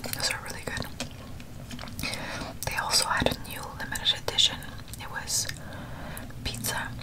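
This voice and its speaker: A woman whispers, soft-spoken, at a moderate pace with long, frequent pauses. Noticeable background noise is present. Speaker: food video host. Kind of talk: casual eating vlog chat. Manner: soft close ASMR whisper. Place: home room.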